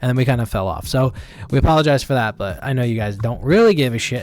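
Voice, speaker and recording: Recorded very cleanly against a silent background, a man talks at a very fast pace with a medium pitch. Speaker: podcast host. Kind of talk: casual chat.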